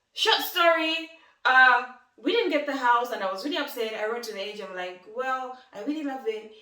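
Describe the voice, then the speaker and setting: A woman's raised, projected voice, high-pitched, with lively intonation, big swings in loudness and audible room echo. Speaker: lifestyle vlogger. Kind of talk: casual vlog talk. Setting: in her new home. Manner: fast.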